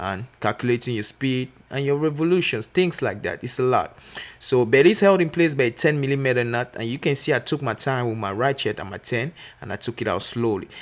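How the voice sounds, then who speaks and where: A man with a non-native accent at a moderate pace. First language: not English. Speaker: mechanic apprentice. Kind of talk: tutorial. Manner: casual, filler-heavy.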